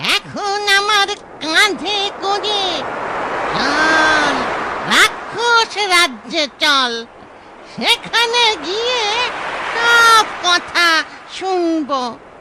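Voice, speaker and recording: A cartoonish character voice at an extremely high pitch speaks very slowly over loud background noise. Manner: growling, gloating.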